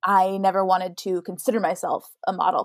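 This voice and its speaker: The recording is very clean with a silent background and a dry, close sound with no echo, as a woman with an American accent speaks at a medium pitch. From Idaho. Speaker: actor and model. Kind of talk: casual chat.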